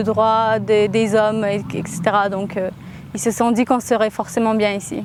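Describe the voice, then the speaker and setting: Fairly slow speech from a woman, music playing behind her. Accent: Armenian. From Russia, Armenian family. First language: Armenian (speaking French). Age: 20s. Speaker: interviewee in a portrait, aspiring journalist. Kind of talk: personal testimony. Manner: hesitant, many fillers.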